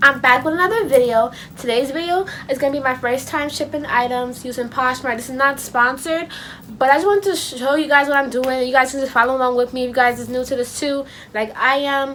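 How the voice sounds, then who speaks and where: Her pitch is high with ordinary variation as this woman talks at a fairly quick pace. Noticeable background noise is present. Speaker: YouTuber. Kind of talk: casual vlog tutorial. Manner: fast; animated.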